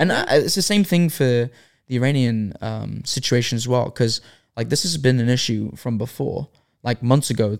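With an unremarkable speaking voice, a man talks at a moderate pace and medium pitch. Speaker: podcast host. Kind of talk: casual chat.

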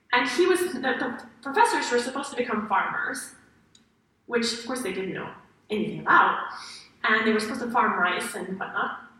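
A high-pitched woman with lively intonation and long, frequent pauses. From France. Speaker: happiness researcher. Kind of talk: interactive lecture. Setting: stage with audience.

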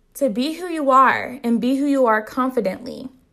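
At a moderate pace, the voice has an animated tone with ordinary pitch variation. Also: woman. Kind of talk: solo podcast monologue. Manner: animated, loud.

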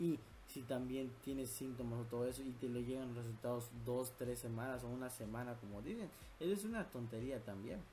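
A man with a medium pitch speaks at a fairly quick pace with fairly even intonation. Audible room echo surrounds his voice. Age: 20s. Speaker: podcast host. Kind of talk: casual chat.

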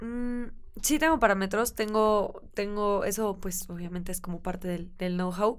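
Her medium-pitched voice carries ordinary pitch variation as this woman speaks at a fairly slow pace. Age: 20s. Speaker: sustainable fashion entrepreneur. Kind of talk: interview.

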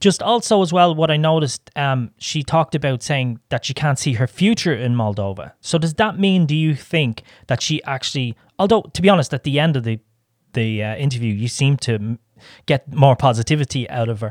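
A man with an Irish accent talks at a fairly quick pace with lively intonation and a fairly high pitch, on a very clean recording with a silent background and a dry, close sound with no echo. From Ireland. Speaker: podcast co-host. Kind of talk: casual interview chat; scripted intro and outro.

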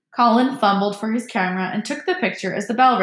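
Someone reads plainly aloud, the pitch moving up and down in an ordinary way.

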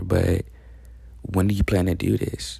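A man speaks at a fairly slow pace in a fairly low, somewhat breathy voice with a dark, mellow tone, on a very clean recording with a silent background. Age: 20s. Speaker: podcast host. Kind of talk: motivational monologue. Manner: animated.

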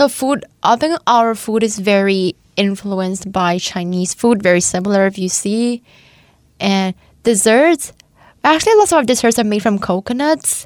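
A woman speaks with a Thai accent at a moderate pace and medium pitch. Her intonation is lively, and the sound is dry and close with no echo. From eastern Thailand. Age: 20s. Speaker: nursing student. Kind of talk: radio interview.

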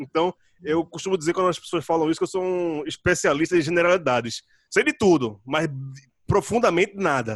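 In a dry, close recording with no echo, a man with a high voice speaks fairly quickly with ordinary pitch variation. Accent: Pernambuco. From Brazil, Pernambuco (Recife area). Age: 30s. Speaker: writer, podcaster and musician. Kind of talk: casual interview chat. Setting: video call.

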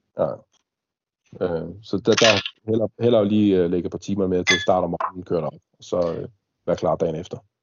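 A man's fairly low pitch at a fairly quick pace, with fairly even intonation, big swings in loudness, and long, frequent pauses. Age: 30s. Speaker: airsoft milsim player. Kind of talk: casual chat. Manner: halting, many fillers.

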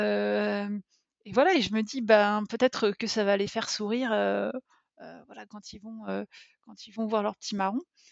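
A woman speaks at a fairly slow pace with long, frequent pauses. Her loudness swings a lot. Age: 30s. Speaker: podcast listener, mother. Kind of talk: personal testimony interview. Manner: hesitant, many fillers.

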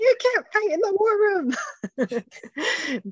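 In a put-on character voice, the speaker goes extremely high-pitched and squeaky, with a New York accent as part of the act. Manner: shouting, indignant.

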